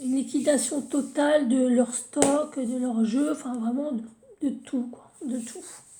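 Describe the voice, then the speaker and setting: Speaking at a very slow pace, a woman with a high pitch and a dark, mellow tone keeps a fairly even intonation while her loudness swings widely, with audible room echo. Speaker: tarot card reader. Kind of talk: tarot reading video. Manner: halting, with repetitions and fillers.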